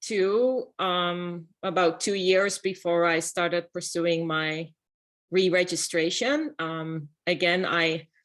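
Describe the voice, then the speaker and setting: Speaking at a very slow pace, a woman with a Dutch accent uses a fairly low pitch and ordinary pitch variation. The background is quiet. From Netherlands. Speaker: architect. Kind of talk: panel talk.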